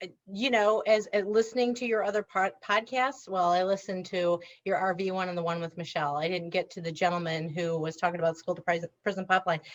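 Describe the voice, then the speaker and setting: A woman speaks in a Wisconsin accent at a medium pitch with ordinary pitch variation. Her pace is very fast, with hardly any pauses. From south central Wisconsin, Reedsburg. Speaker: former school counselor, author. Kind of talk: podcast interview. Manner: talkative.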